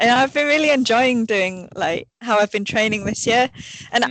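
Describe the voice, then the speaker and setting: Recorded dry and close with no echo, a woman speaks in a Yorkshire accent. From northern England, Sheffield, Yorkshire. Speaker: elite orienteer. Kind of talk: casual interview. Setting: remote call from training camp abroad.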